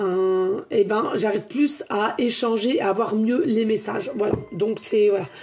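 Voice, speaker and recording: Noticeable background noise sits behind this woman. Her fairly high voice shows ordinary pitch variation. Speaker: tarot medium. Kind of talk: tarot guidance monologue. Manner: hesitant, many fillers.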